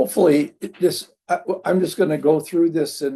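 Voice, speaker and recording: A man's dark, mellow tone. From southern Minnesota. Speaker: chaplain and pastor. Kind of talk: workshop presentation.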